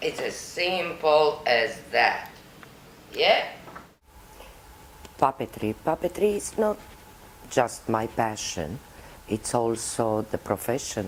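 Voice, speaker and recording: Speaking with a Romanian accent, a woman with a very deep, low voice talks at a very slow pace with long, frequent pauses and very wide pitch swings, over noticeable background noise. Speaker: puppeteer. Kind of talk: interview.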